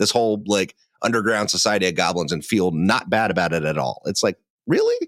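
The speaker has a plain, everyday voice with ordinary pitch variation. Loudness stays very even at a fairly quick pace. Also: man, fairly low pitch for a man. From Ohio. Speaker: tabletop game master, podcaster. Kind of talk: casual chat. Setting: video call.

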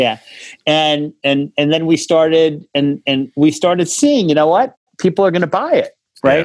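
This man has an ordinary speaking voice pitched fairly high. He moves at a moderate pace with ordinary pitch variation. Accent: American. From New York, Rockland County. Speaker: cannabis tech entrepreneur. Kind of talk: interview.

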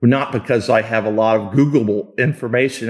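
In a normal speaking voice with an American accent, a man speaks at a medium pitch with fairly even intonation on a very clean recording with a silent background. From Kansas. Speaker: sports executive and Navy veteran. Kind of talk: interview.

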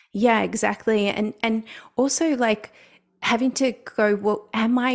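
A woman's normal speaking voice, fairly high in pitch and fairly slow, on a very clean recording with a silent background. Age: 40s. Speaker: feminine embodiment coach. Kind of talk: casual chat.

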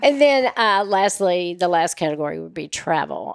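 An unremarkable speaking voice talks at a fairly slow pace. The intonation is lively. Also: woman. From Oklahoma, raised in Nashville, Tennessee. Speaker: personal concierge business owner. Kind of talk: casual interview.

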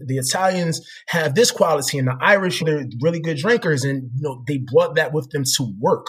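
A man with an American accent talks in a somewhat breathy voice, with hardly any pauses. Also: fairly high pitch for a man, ordinary pitch variation, moderate pace. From US Northeast (Philadelphia, New Jersey). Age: 30s. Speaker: corporate professional. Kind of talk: interview.

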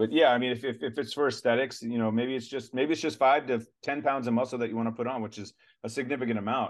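Delivered at a very fast pace, a man's voice sits at a medium pitch with fairly even intonation. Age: 40s. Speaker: retired special forces soldier and supplement company founder. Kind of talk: casual interview chat.

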